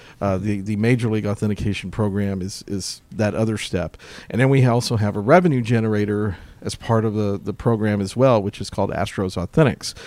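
A man with an American accent talks at a fairly quick pace and a fairly low pitch, with fairly even intonation. The recording is very clean, with a silent background. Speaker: baseball team historian. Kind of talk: interview. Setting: ballpark. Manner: halting, many repeated words.

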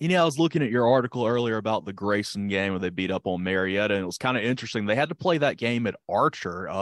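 Barely pausing, a man speaks at a very fast pace with fairly low pitch and lively intonation. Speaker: co-host announcer. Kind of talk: news and ad reading.

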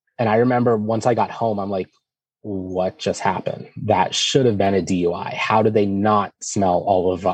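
An ordinary speaking voice from a man with an American accent, fairly low in pitch, with ordinary pitch variation. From US, Erie, Pennsylvania. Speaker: sobriety podcast guest, LGBT advocate. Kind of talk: personal testimony interview.

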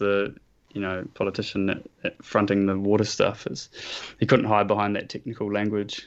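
Here a man talks in a New Zealand accent. His pitch sits fairly low, and his pace is moderate. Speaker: nature photographer and environmental activist. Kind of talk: interview.

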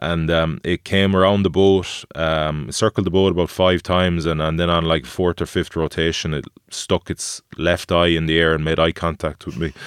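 With ordinary pitch variation and a moderate pace, a man talks at a very deep, low pitch in a dry, close sound with no echo. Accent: Irish. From Galway, west of Ireland. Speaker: former rugby player and adventurer. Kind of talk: casual chat. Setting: studio.

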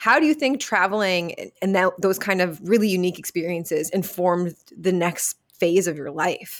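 A woman's unremarkable speaking voice at medium pitch, with ordinary pitch variation, a moderate pace and hardly any pauses, on a very clean recording with a silent background. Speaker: podcast host. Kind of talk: interview conversation.

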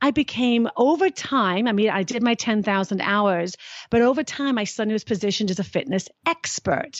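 A woman with a British accent is speaking. Her pitch sits fairly high. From Britain. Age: 50s. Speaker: fitness and happiness expert, author. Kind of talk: interview.

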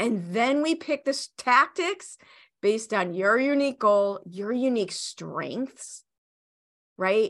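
Over a quiet background, this speaker uses a Chicago accent, an animated tone and lively intonation. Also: woman. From US Midwest, Chicago. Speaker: business coach and entrepreneur. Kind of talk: interview. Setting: video call.

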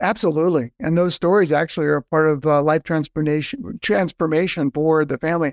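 A man with a normal speaking voice and an American accent, fairly high in pitch with ordinary pitch variation, at a fairly quick pace and very even loudness, in a dry, close sound with no echo and a quiet background. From Southern California. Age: 50s. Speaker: nonprofit fundraising consultant. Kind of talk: podcast interview.

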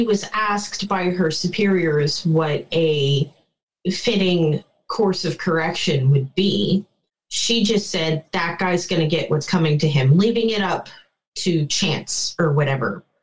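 A woman with a fairly low pitch speaks very slowly, her intonation lively. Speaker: fan fiction writer. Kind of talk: casual chat.

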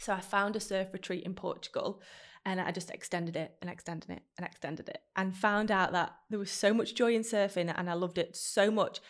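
In a very clean recording with a silent background, a woman with a Manchester accent speaks at a medium pitch and a fairly quick pace. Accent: Manchester-area northern English. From northern England, Stockport. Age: 30s. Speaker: podcaster and brand founder. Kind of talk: casual chat. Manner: animated.

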